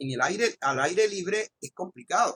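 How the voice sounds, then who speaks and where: A man speaks in a Colombian coastal accent at a fairly slow pace. His tone is bright and sharp, with lively intonation. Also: dry, close sound with no echo. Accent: regional Colombian coastal. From Colombian Caribbean coast (Magangué, Bolívar). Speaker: law professor. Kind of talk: lecture. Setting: recorded online class. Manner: impetuous, raises voice when enthusiastic; hesitant fillers and repetitions.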